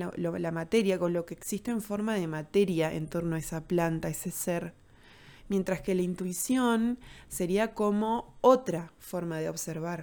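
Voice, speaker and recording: Speaking at a fairly low pitch, a woman has a plain, everyday voice with ordinary pitch variation and a moderate pace. The recording is very clean and the background silent. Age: 30s. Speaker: podcast host, holistic therapist. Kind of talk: solo podcast monologue.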